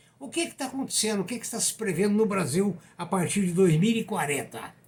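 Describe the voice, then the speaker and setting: This man's voice sits at a high pitch. He talks at a moderate pace. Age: 80s+. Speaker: economics commentator, retired professor. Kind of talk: economic commentary monologue. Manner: conversational.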